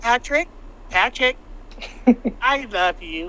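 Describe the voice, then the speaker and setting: A put-on character voice, female-sounding and high-pitched, with very wide pitch swings. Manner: cheerful, affectionate.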